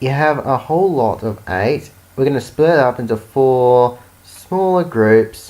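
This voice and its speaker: Here a man talks at a very slow pace in a medium pitch. His pitch swings are very wide. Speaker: amateur maths tutor. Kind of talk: unscripted educational explanation. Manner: hesitant, with stutters and pauses.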